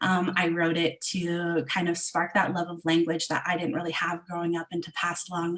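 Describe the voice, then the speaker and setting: Noticeable background noise runs through the clip. A woman talks at a moderate pace. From Southwestern Ontario, Canada. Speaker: illustrator and children's book author. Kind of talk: online event presentation. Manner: halting, many fillers.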